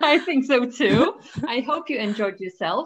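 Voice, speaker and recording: This is a woman's voice. Her pitch is high. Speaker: knitting podcast host. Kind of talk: casual interview chat.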